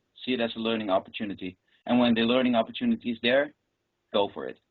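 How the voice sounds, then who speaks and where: The man speaks with a Dutch accent at a medium pitch. His pace is fairly quick and his intonation fairly even. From Netherlands. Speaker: professional juggler. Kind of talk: interview.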